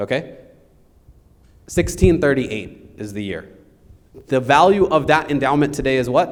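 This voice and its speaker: The voice has vocal fry and big swings in loudness, broken by long, frequent pauses. Audible room echo surrounds it. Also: man. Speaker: lawyer teaching estate planning. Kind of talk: lecture.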